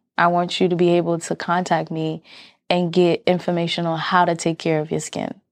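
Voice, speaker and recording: This woman has a normal speaking voice, fairly low in pitch. Her pace is moderate. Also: quiet background. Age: 30s. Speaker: skincare business owner. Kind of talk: casual interview.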